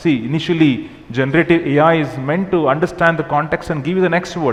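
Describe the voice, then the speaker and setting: Noticeable background noise sits under speech that runs fairly quickly with ordinary pitch variation. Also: man. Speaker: technology executive, keynote speaker. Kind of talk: keynote talk. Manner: fast.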